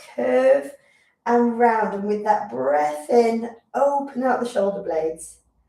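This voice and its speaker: A woman with a British accent, fairly high in pitch, with audible room echo. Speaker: physiotherapist leading exercise class. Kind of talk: guided exercise class. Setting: live stream.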